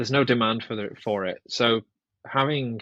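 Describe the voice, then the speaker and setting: Close and dry with no echo, a man with a northern English accent speaks fairly slowly at a medium pitch with fairly even intonation. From northwest England. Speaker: guitarist and composer. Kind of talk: podcast interview. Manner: casual, hesitant with fillers.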